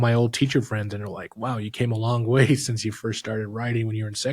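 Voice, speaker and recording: A somewhat breathy voice talks at a fairly quick pace in a flat monotone, recorded very cleanly against a silent background. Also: man. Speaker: director and script writer of fan film. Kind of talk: casual chat.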